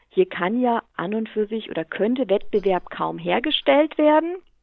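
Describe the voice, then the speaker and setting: A woman speaks with lively intonation. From Lower Franconia, Bavaria (Hammelburg). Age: 40s. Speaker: utility company executive. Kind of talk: interview.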